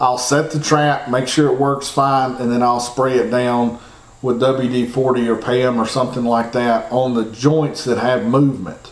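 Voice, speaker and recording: A man with an American accent speaks in a monotone, flat intonation, with audible room echo and noticeable background noise. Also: medium pitch for a man, fairly slow pace. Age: 40s. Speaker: trapping podcast host. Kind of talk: instructional talk. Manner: casual, repetitive phrasing.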